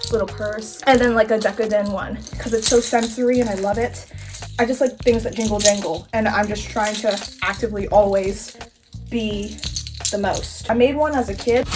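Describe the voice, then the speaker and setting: Music plays in the background as a woman with an American accent talks at a fairly quick pace and a fairly high pitch, with ordinary pitch variation. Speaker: cosplay YouTuber. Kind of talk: casual chat. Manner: eating while talking.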